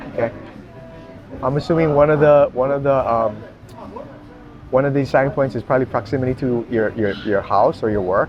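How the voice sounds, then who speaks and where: Amid noticeable background noise, a man speaks at a fairly quick pace with long, frequent pauses, using a medium pitch and ordinary pitch variation. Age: 60s. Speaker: podcast host, jiu-jitsu practitioner. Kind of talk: casual interview.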